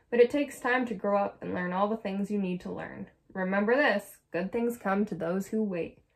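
It's a natural reading voice with ordinary pitch variation.

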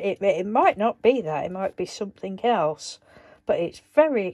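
This woman has a dark, mellow tone and a medium pitch. Her intonation is lively, and her pace is fairly slow.

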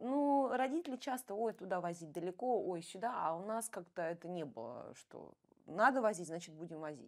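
With a quiet background, a woman speaks at a moderate pace with lively intonation. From Russia, Bryansk; Russia. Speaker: ballroom dancer and coach; interview guest. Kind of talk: interview. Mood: relaxed, animated at times. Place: studio. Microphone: lapel.

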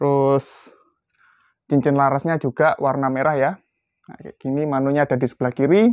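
Over a quiet background, a man talks at a fairly quick pace. His tone is upbeat. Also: dry sound with no echo. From Indonesia. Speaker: airgun shop presenter. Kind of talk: sales pitch. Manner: brisk, upbeat street-seller patter; repetitive, calling out to buyers. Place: shop.

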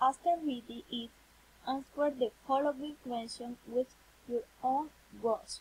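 With a Spanish accent and a high pitch, a woman speaks at a fairly slow pace with fairly even intonation and long, frequent pauses, over light background noise. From Colombia. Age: 20s. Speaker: university student. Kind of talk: reading aloud. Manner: halting. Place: home room. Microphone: webcam.

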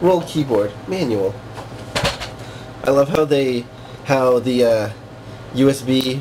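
A man at medium pitch, fairly slow in pace, with ordinary pitch variation, over noticeable background noise. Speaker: tech reviewer. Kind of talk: casual product review to camera. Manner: sarcastic, mocking.

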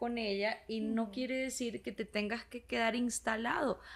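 A bright, sharp tone at a fairly slow pace. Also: woman. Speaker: podcast co-host, psychotherapist; podcast co-host. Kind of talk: casual podcast conversation. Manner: energetic, animated. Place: studio. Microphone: studio mic.

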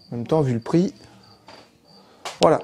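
A man's voice with ordinary pitch variation over music in the background. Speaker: bus conversion vlogger. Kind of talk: casual vlog chat. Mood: mildly annoyed, joking.

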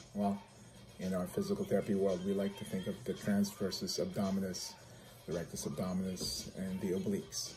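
A man talks at a fairly quick pace with faint music in the background. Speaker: physical therapist vlogger. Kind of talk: casual vlog chat. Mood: upbeat, friendly. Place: home room.

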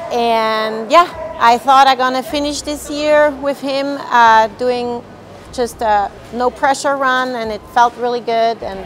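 Light background noise accompanies a woman speaking at a fairly slow pace. Her pitch is high. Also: ordinary pitch variation. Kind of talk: interview answer. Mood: happy, a bit shy, laughing. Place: hall. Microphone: lapel.

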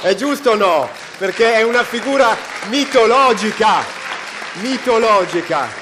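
With crowd noise behind him, a man speaks fairly slowly in a high, animated voice with ordinary pitch variation, very even loudness, and long, frequent pauses. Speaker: event presenter; presenter. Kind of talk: event hosting. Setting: stage with audience. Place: stage. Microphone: handheld.

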